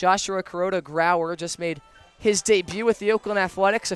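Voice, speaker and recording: Moderate pace, with fairly even intonation. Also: man. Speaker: baseball play-by-play broadcaster. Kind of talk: live sports commentary. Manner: stumbles over words at times.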